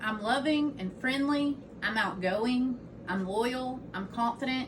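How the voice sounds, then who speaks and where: Loud and high-pitched, a woman speaks at a fairly slow pace with lively intonation over noticeable background noise. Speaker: student giving a class speech. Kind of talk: informative speech.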